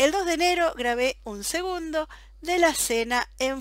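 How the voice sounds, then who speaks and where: A woman's voice at a fairly slow pace. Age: 40s. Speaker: podcast host, personal development. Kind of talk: solo podcast monologue. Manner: enthusiastic.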